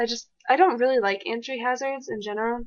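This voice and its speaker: In an animated tone, a woman speaks with ordinary pitch variation. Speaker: gaming commentator. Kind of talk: gameplay commentary. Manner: fast.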